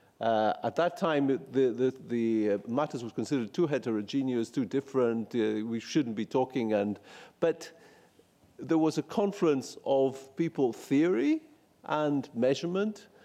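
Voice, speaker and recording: A man speaks in a Greek accent with a dark, mellow tone, medium pitch, a moderate pace and lively intonation. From Greece. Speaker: policy researcher presenting findings. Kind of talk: conference presentation. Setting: event at the European Parliament. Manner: halting, many fillers and restarts.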